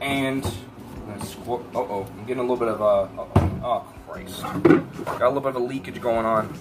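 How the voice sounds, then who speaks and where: A man speaks with music in the background. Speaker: vlogger. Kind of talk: casual vlog chat. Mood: playful, self-joking. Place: kitchen. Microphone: phone near.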